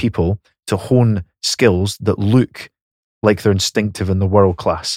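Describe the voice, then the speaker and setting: On a very clean recording with a silent background, a man speaks in a Scottish accent at a moderate pace. His fairly low pitch shows ordinary variation, and the sound is dry and close with no echo. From Scotland, Fife. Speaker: podcast co-host and rugby coach. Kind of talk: casual chat. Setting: studio.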